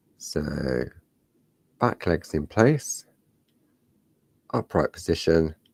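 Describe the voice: A man's croaky, extremely low voice with vocal fry, a slightly husky edge and slightly mellow tone, big pitch swings, a slow pace and long, frequent pauses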